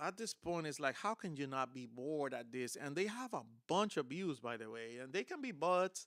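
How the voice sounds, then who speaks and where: This man has a Spanish accent and a fairly high pitch, talking at a moderate pace with lively intonation. The recording is very clean, with a silent background. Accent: Spanish accent, noticeable. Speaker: guitar content creator, streamer. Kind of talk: live stream casual talk. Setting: live stream. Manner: hesitant, many fillers.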